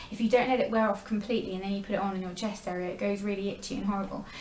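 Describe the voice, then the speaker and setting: A woman talks with an English accent. Noticeable background noise and audible room echo fill the recording. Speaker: beauty vlogger. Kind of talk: product review vlog. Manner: fast.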